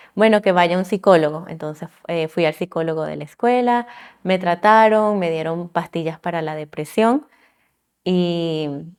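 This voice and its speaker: A woman's fairly low, fairly slow voice with ordinary pitch variation, on a very clean recording against a silent background. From Venezuela (La Guaira) then Miami from age 9. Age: 30s. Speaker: civil engineer. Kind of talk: testimony. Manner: halting.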